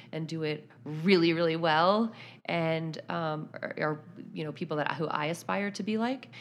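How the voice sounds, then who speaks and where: A woman with an American accent speaks in a plain, everyday voice at a fairly low pitch and a moderate pace. Her pitch variation is ordinary, and the recording is very clean with a silent background. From Pittsburgh, Pennsylvania. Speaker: sports journalist. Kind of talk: interview.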